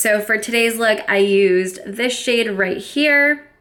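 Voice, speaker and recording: An upbeat, enthusiastic voice in an American accent at a fairly slow pace. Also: woman. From United States, Florida. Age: 20s. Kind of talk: casual makeup review to camera.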